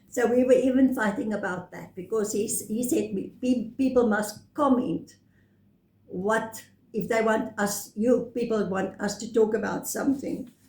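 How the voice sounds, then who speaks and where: A woman's fairly high voice with fairly even intonation, big swings in loudness and audible room echo. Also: moderate pace. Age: 70s. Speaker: retired vlogger. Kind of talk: casual chat.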